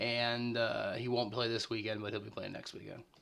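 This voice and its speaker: A man speaks at a fairly quick pace in a medium pitch, his intonation flat and monotone. Noticeable background noise runs under his voice. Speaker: fantasy football league commissioner. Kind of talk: recap video monologue. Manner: frequent filler uh.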